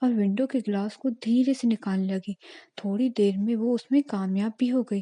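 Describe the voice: Plain reading aloud, start to finish.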